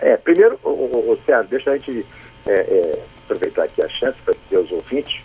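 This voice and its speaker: A man talks fairly quickly at an extremely high pitch. His intonation is fairly even, and the sound is dry and close with no echo. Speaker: state football federation president. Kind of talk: radio interview answer by phone. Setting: phone line.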